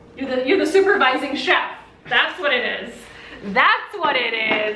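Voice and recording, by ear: With audible room echo, a woman speaks at a moderate pace in a high pitch, her bright, sharp tone carried by lively intonation.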